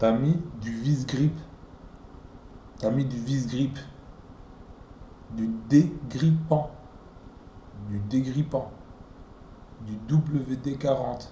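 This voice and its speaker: At a very slow pace, with long, frequent pauses, a man speaks in a medium pitch and fairly even intonation, with room echo audible. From Belgium, Flanders near language border. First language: Dutch (speaking French). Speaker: car hobbyist. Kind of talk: casual video tutorial.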